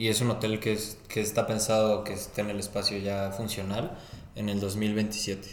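Amid audible room echo, a man with a Mexican accent talks at a moderate pace and a fairly low pitch, in a monotone, flat intonation. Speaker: podcast co-host. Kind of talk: casual chat.

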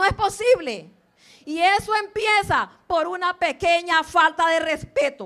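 Speaking at a very slow pace, a woman has an extremely high pitch, a bright, sharp tone, and lively intonation. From Limón, Costa Rica (born in Guanacaste). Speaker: school principal. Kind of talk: speech to students at school assembly. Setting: school assembly.

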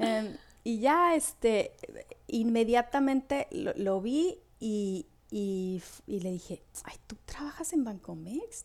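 A woman speaks very slowly at a fairly high pitch. Her voice shows very wide pitch swings and big swings in loudness. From northwestern Mexico, Hermosillo, later Morelia. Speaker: Mexican immigrant. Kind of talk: casual interview.

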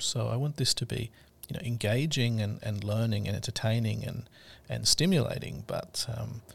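A man's medium-pitched voice with vocal fry, at a moderate pace, on a very clean recording with a silent background. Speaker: podcast host. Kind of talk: podcast monologue with a story reading segment. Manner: casual, conversational, with hesitations.

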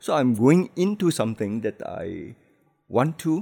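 A man speaks at a fairly slow pace with a fairly high pitch and very wide pitch swings. His dark, mellow tone sits on a very clean recording with a silent background. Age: 60s. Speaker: book publisher.

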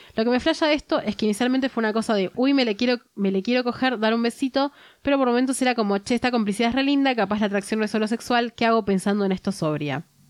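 A woman with a fairly high pitch and ordinary pitch variation speaks very fast with hardly any pauses and very even loudness, in a dry, close sound with no echo on a very clean recording with a silent background. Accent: Rioplatense. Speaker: podcast host. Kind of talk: casual chat.

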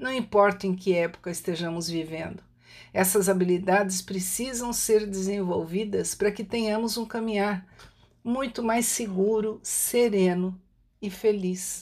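A woman has a normal speaking voice with fairly even intonation. The recording is very clean, with a silent background. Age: 60s. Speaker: writer and holistic therapist. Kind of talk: reflective monologue.

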